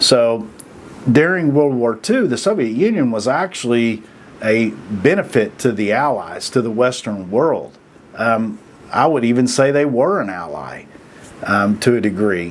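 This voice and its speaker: Fairly slow, lively intonation, with an American accent. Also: man, medium pitch for a man. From Oklahoma, US. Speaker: video commentator. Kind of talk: casual monologue. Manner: halting, many fillers and repeats; plain folksy speech.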